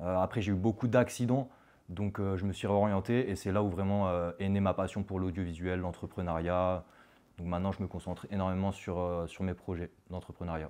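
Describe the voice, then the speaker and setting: A man speaks with a very deep, low pitch and a dark, mellow tone at a moderate pace. The background is quiet. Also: fairly even intonation. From France, Haute-Savoie. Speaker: cross-border worker, entrepreneur. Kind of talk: interview. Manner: halting, many fillers.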